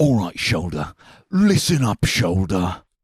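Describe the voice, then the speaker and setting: A man's put-on character voice with a British accent, pitched fairly low, at a fairly slow pace. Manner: gruff barking orders.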